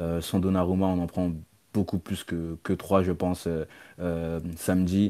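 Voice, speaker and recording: Dark, mellow tone with monotone, flat intonation at a very slow pace, on a very clean recording with a silent background. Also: man, very deep, low pitch for a man. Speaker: football podcaster. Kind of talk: casual chat. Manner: halting.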